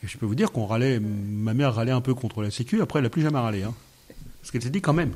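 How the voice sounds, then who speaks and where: A man delivers his words very fast, holding a medium pitch and ordinary pitch variation. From France. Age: 60s. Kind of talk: radio interview. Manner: halting.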